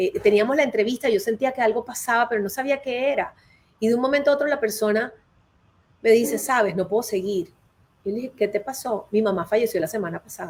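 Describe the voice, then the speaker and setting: Very fast speech from a woman, fairly high in pitch, its variation ordinary. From Colombia. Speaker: HR consultant and career advisor. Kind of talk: live interview.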